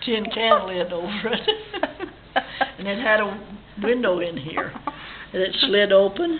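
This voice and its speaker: A woman with an American accent speaks at a fairly slow pace with lively intonation. Long, frequent pauses and noticeable background noise are present. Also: medium pitch for a woman. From Idaho, US. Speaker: ranch family elder. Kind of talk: oral history interview. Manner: halting.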